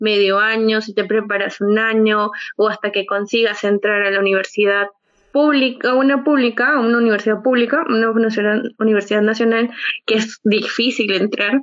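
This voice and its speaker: A woman with a Peruvian accent at a fairly high pitch, moderate pace and fairly even intonation. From Peru, Lima. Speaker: podcast co-host. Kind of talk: casual chat.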